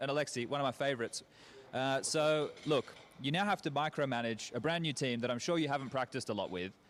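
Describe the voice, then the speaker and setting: Fairly high-pitched male voice with an Australian accent and ordinary pitch variation. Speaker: esports host/interviewer. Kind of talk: esports interviews. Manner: fast.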